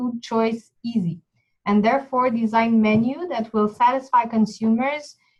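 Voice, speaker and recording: Speaking with a Quebec accent is a woman. Her pitch is fairly high. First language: French. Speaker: project team presenter. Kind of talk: webinar presentation.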